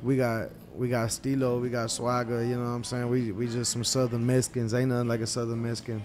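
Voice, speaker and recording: Music plays in the background, and audible room echo fills the space. A man at medium pitch talks at a very fast pace in a monotone, flat intonation. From Texas, Bay City, Matagorda County. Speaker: rapper. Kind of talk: interview. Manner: slurred together; casual.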